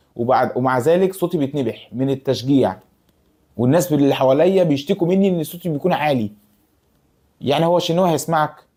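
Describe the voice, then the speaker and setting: A man with an Egyptian accent, a fairly high pitch and a dark, mellow tone, at a fairly quick pace. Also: ordinary pitch variation. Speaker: YouTuber football fan commentator. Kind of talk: casual vlog monologue. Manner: halting, many false starts.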